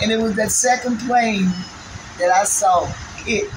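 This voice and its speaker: A female speaker with an American accent and noticeable background noise. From New York. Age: 70s. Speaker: 9/11 survivor. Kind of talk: interview answer. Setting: outdoors. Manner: emotional. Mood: earnest, emotional recollection. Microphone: phone near.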